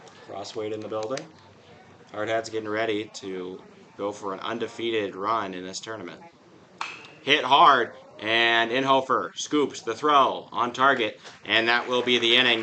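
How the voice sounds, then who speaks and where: A man speaks at a fairly slow pace with long, frequent pauses and big swings in loudness over noticeable background noise. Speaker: baseball play-by-play broadcaster. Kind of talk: live commentary.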